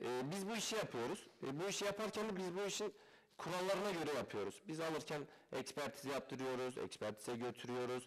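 A man with a fairly high pitch makes very wide pitch swings while keeping his loudness very even. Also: fairly quick pace, quiet background. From Turkey, Malatya; Turkey. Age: 20s. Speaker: used car dealer. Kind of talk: interview. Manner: hesitant, many fillers. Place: studio. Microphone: headset.

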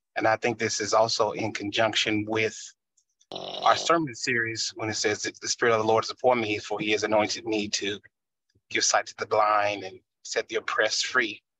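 At a moderate pace, a man speaks against a quiet background. The sound is dry with no echo. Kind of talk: discussion contribution, theological explanation. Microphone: video call.

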